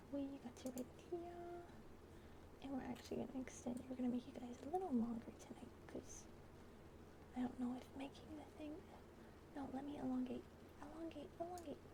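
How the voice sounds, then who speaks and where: A fairly quick delivery with long, frequent pauses amid noticeable background noise. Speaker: VTuber ASMR streamer. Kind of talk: casual chat with stream viewers. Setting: livestream. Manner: animated.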